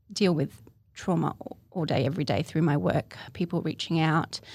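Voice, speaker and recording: Vocal fry marks this woman's fairly low voice, delivered with ordinary pitch variation in an Australian accent. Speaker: poet and artist. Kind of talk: interview, personal testimony. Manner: hesitant, many fillers.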